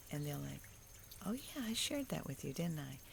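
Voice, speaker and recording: Soft-spoken, a woman talks with a very deep, low pitch. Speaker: faith vlogger. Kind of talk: devotional monologue. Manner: conversational.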